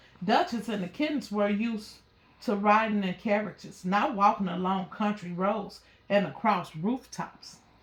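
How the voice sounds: A woman at medium pitch, ordinary pitch variation, a fairly slow pace, and audible room echo.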